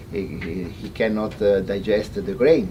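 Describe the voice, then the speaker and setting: With noticeable background noise and audible room echo, a man in an Italian accent speaks at a fairly slow pace, with a fairly low pitch and ordinary pitch variation. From Italy. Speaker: veterinarian. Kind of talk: seminar talk. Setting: in-person seminar with audience. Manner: halting, many hesitations and repetitions.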